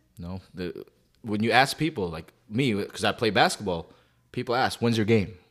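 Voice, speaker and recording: This man has an unremarkable speaking voice at a medium pitch, with a Canadian accent. He talks at a moderate pace with lively intonation. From Calgary, Canada. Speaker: podcast co-host. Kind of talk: casual chat.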